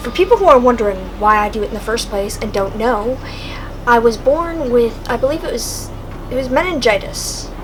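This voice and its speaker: A quiet woman's high voice at a fairly quick pace, lively in intonation, with audible room echo and noticeable background noise. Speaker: vlogger. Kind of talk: casual monologue. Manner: quiet talker; halting.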